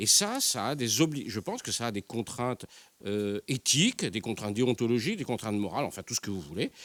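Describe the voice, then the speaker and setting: Recorded close and dry, the man's voice carries no echo at all. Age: 60s. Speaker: newspaper journalist and columnist. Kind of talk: panel debate. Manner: halting, many hesitations.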